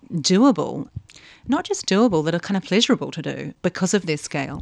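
In a New Zealand accent, a woman talks at a fairly quick pace. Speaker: anthropologist, senior lecturer. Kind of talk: interview conversation. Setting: university office.

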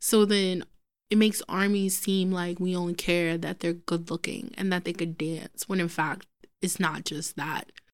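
A woman in a New York accent, fairly low in pitch, at a moderate pace with fairly even intonation. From New York City, Brooklyn. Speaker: podcast co-host. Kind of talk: casual chat. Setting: studio.

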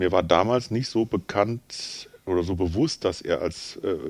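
Here a man has an unremarkable speaking voice, pitched fairly low. His pitch varies in an ordinary way. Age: 50s. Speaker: pastor and theologian. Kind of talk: casual chat.

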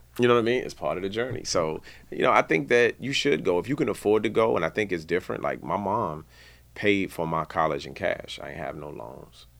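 A man with an American accent talks fairly quickly at a fairly low pitch, with vocal fry. His pitch swings very widely and his loudness shifts a lot, on a very clean recording with a silent background. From Washington DC area (Maryland suburbs). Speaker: music industry executive. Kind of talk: interview. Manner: halting, many fillers; casual.

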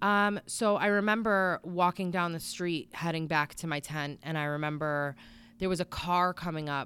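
With an American accent and a bright, sharp tone, a woman speaks at a moderate pace and fairly low pitch with ordinary pitch variation, recorded very cleanly against a silent background. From Connecticut, New England (Bristol). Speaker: area coach, addiction survivor. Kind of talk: interview testimony.

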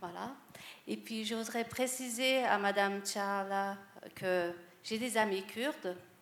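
Audible room echo colors the recording as a woman talks with ordinary pitch variation. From France. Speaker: audience member. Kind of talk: audience question.

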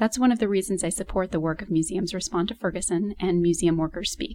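A woman with an ordinary speaking voice talks at a medium pitch and a fairly quick pace. Her intonation is fairly even. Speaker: museum worker. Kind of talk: personal testimony.

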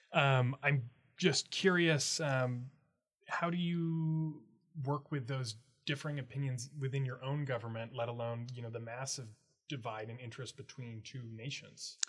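Here is a man with an unremarkable speaking voice, medium in pitch and ordinary in pitch variation. He talks at a moderate pace, his loudness swinging widely. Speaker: student podcast host. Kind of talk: interview.

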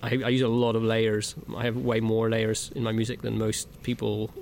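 A man's medium-pitched voice with monotone, flat intonation and a Northern Irish accent. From Northern Ireland. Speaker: music producer. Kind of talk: interview. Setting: music venue. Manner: hesitant, many fillers.

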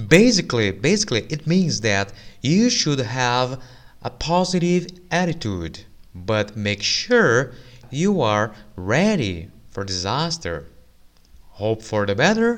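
Speaking very slowly with a Brazilian accent, a man at medium pitch makes very wide pitch swings and leaves long, frequent pauses. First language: Portuguese. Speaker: English teacher and podcast host. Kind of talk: casual news commentary for learners. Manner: informal, frequent laughter and fillers.

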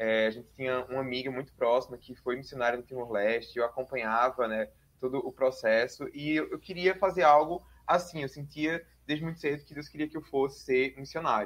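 A normal speaking voice from a man, medium in pitch and fairly quick, with ordinary pitch variation and big swings in loudness. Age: 20s. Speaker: doctoral researcher in international politics and religion. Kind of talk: interview.

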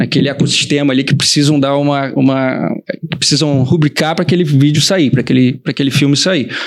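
Noticeable background noise surrounds a man with a fairly high pitch who speaks at a fairly quick pace. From Rio de Janeiro, Brazil. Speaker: designer and production company partner. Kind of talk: casual chat.

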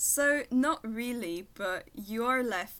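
In a French accent, a woman with a fairly high pitch and a bright, sharp tone speaks at a very slow pace. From France, near Paris (Versailles). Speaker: veterinary student. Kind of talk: casual interview.

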